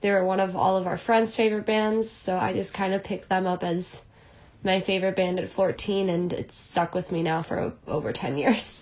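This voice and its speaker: In an American accent, a woman with a plain, everyday voice talks at a moderate pace, her medium pitch carrying fairly even intonation. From Chicago. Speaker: music agent assistant and former band manager. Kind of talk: interview.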